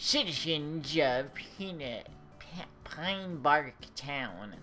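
Clear music plays behind a put-on character voice pitched low-to-middle. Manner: put-on ninja voice.

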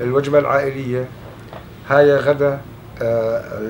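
With a southern Syrian accent, the speaker keeps fairly even intonation over light background noise. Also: man. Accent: Southern Syrian (Hauran) Arabic. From Syria, Daraa. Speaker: refugee. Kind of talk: interview answer. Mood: calm, warm reminiscing. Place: home room.

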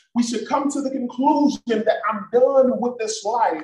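A man speaks at a fairly slow pace in an extremely high pitch, with ordinary pitch variation, an animated tone and audible room echo. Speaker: pastor. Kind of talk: sermon and prayer at a church Bible study, preacher in full flow, call-and-response. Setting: church with a congregation, also streamed online. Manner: animated, fervent, rhythmic preaching with exhortations to the congregation. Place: church. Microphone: video call.

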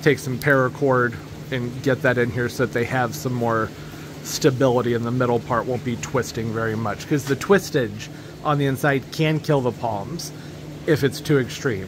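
Over noticeable background noise, the speech moves at a moderate pace with ordinary pitch variation. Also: man. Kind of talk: casual vlog chat. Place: garage. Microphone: phone near.

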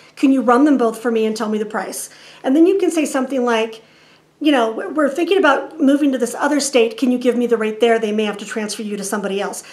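A woman's high voice at a very fast pace with ordinary pitch variation. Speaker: RV lifestyle vlogger. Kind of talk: tutorial. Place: home room.

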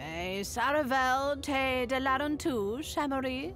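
A croaky, high-pitched, put-on character voice moves at a fairly slow pace. Background noise is clearly audible.

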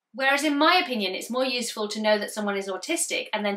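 A woman with a British accent speaks in a bright, sharp tone over a quiet background. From UK. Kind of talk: educational explainer video. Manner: loud. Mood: warm, empathetic. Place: home room.

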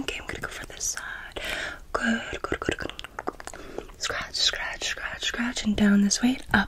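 A woman whispers in a breathy voice, her loudness swinging widely. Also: moderate pace. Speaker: ASMR creator. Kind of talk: soft-spoken ASMR personal attention. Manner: soft, breathy ASMR murmur. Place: home room.

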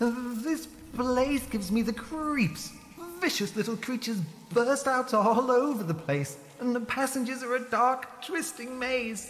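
A put-on character voice, female-sounding and high in pitch, moves at a moderate pace. Background noise is clearly present. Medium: machinima. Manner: friendly, chatty, cautious.

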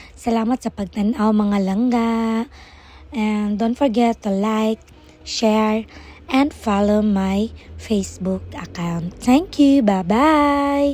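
Her pitch sits fairly high for a woman. She talks at a very slow pace. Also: ordinary pitch variation. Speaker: store vendor vlogger. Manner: animated, sing-song pitchman delivery, upbeat and chatty.

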